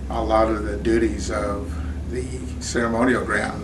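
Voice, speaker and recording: A man with an American accent speaks at a fairly slow pace and medium pitch. Noticeable background noise and audible room echo surround his voice. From Oklahoma, Seminole. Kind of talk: interview testimony. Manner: halting, with fillers.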